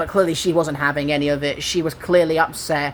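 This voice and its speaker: A man speaks with an English accent at a fairly quick pace. His pitch is high. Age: 20s. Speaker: gaming YouTuber. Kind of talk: casual chat. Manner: animated.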